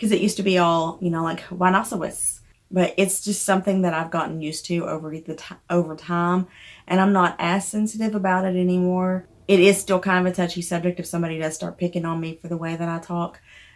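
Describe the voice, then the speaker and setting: A woman with a Southern US accent talks at a very fast pace in a monotone, flat intonation. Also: fairly low pitch for a woman, very clean recording, silent background. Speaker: indie author. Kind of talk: casual chat.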